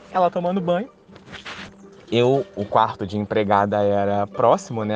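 With music in the background, a man talks at a moderate pace in a fairly low voice. His intonation is lively, broken by long, frequent pauses. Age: 30s. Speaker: storyteller sharing supernatural experiences. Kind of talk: personal testimony.

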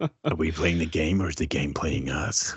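A man puts on a raspy character voice, very deep and low, at a moderate pace.

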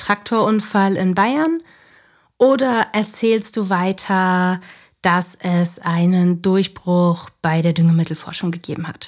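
Speaking at a very slow pace, a woman uses a medium pitch and fairly even intonation in a very clean recording with a silent background. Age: 30s. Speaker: former news journalist, self-employed media consultant. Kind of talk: podcast interview.

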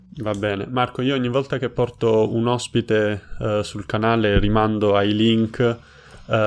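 This is a man's voice. It sits fairly low in pitch. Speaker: Italian language YouTuber. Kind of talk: casual interview chat. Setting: video call.

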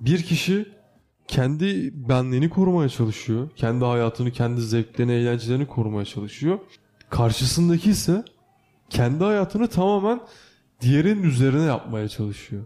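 The man's tone is dark and mellow. His pitch swings very widely. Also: medium pitch for a man, moderate pace. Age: 20s. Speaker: podcast co-host, university student. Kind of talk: casual chat.

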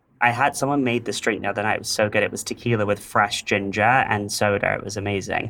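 With an English accent and a bright, sharp tone, a man speaks very fast with hardly any pauses, his fairly low pitch held in fairly even intonation on a very clean recording with a silent background. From England, London area. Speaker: interior designer. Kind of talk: interview, casual chat.

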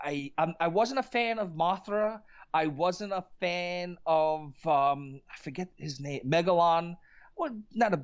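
A man with a high voice speaks at a fairly slow pace. His pitch varies in an ordinary way. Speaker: musician and podcast guest. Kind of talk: casual chat.

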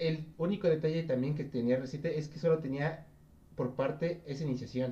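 This man's voice is somewhat breathy and dark and mellow in tone, set at a fairly high pitch with ordinary pitch variation. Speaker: esports podcast host. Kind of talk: casual chat. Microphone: voice too quiet.

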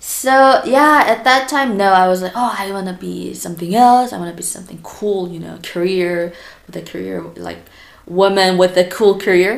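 With a Korean accent, a woman talks at a moderate pace, her loudness swinging widely. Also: medium pitch for a woman, ordinary pitch variation. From South Korea. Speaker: primary school teacher. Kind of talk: casual interview.

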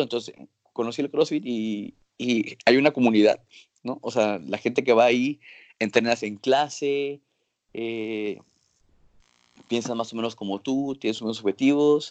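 Dry and close with no echo, the voice shows ordinary pitch variation and long, frequent pauses. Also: man. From Mexico, Acapulco. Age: 30s. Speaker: physician. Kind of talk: interview. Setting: video call.

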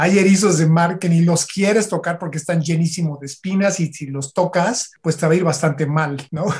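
A man's high voice at a moderate pace, with fairly even intonation and hardly any pauses. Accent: Mexican. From Mexico, Michoacán. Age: 50s. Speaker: marine biologist. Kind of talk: casual interview.

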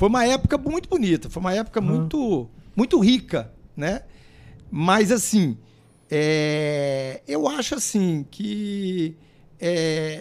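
Very slow speech with long, frequent pauses carries very wide pitch swings. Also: man, high pitch for a man. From Paraná, Brazil. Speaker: mayor. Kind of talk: interview. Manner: halting, repeats words.

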